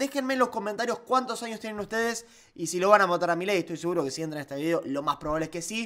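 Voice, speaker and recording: A man talks at a very fast pace in an animated tone. The background is quiet. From Argentina. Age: 20s. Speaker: political YouTuber; political commentator, YouTuber. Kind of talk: opinion commentary. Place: home room. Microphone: studio mic.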